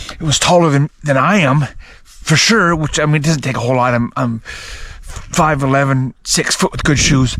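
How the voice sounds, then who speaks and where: A fairly high-pitched man at a fairly slow pace, amid noticeable background noise. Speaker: outdoor vlogger. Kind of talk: outdoor vlog narration. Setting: outdoors in woods. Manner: stuttering, halting.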